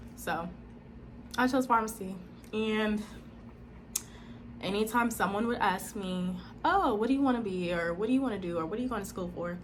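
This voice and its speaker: Her tone animated, a woman with a fairly high pitch and ordinary pitch variation speaks with long, frequent pauses in a space with audible room echo. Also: moderate pace. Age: 20s. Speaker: speech-language pathology student and vlogger. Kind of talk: personal testimony vlog.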